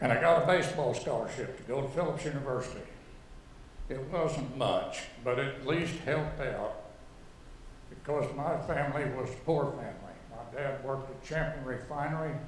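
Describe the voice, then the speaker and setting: A man of fairly high pitch at a moderate pace, fairly even in intonation, amid noticeable background noise and audible room echo. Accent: American. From Oklahoma, Enid. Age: 80s+. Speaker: artist. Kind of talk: artist talk. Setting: auditorium with audience.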